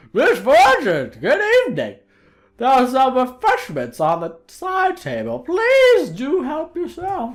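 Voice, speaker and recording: The voice is a put-on character voice. It is high in pitch and fairly slow in pace. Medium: game stream. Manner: pompous.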